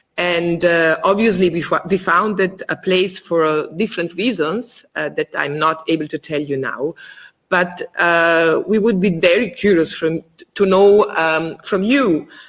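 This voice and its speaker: In a very clean recording with a silent background, a woman speaks at a fairly slow pace, fairly low in pitch, with ordinary pitch variation. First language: not English (English is third language). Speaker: theater co-director interviewing guest. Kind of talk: interview, reading prepared questions. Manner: halting, many fillers.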